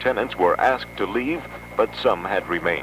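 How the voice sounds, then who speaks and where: Noticeable background noise surrounds a man talking at a moderate pace with a medium pitch. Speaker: radio news announcer. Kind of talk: radio newscast delivery.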